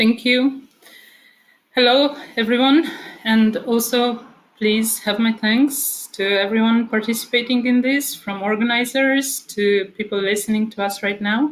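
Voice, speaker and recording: The speaker talks at a fairly slow pace with a Romanian accent. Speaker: author and speaker at a book convention. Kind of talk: prepared speech. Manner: hesitant, with filler words.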